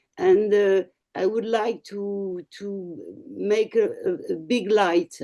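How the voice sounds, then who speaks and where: Very slow speech from a woman at medium pitch, dark, mellow tone and ordinary pitch variation. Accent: French. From France. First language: French. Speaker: communication agency head. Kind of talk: speech at online meeting. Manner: halting.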